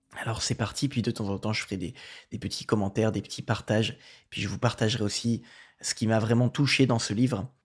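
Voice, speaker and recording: The man's voice is medium in pitch and somewhat breathy, moving at a fairly quick pace. The recording is very clean, with a silent background. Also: fairly even intonation. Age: 20s. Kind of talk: casual testimony and reading aloud. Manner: halting, with fillers and repetitions.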